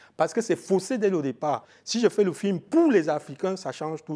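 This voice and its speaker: A man talks at a fairly slow pace, his high-pitched voice carrying a dark, mellow tone. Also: very clean recording, silent background. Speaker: film expert and trainer. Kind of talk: radio interview.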